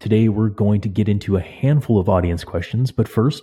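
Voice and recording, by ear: In a very clean recording with a silent background, a man talks at a fairly quick pace, his fairly low voice dark and mellow with a slightly husky edge. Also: ordinary pitch variation.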